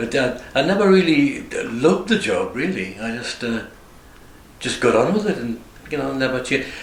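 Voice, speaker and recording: Amid noticeable background noise and audible room echo, a man speaks with very wide pitch swings and long, frequent pauses. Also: moderate pace. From northern England, Northumberland (Morpeth). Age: 70s. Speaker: retiring barber. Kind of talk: interview. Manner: halting.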